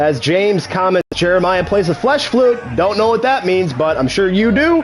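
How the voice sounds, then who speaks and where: A man with a high voice speaks in an animated tone, his pitch swinging very widely while his loudness stays very even. Music plays in the background. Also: moderate pace. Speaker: gaming streamer. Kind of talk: mock fight commentary over video game.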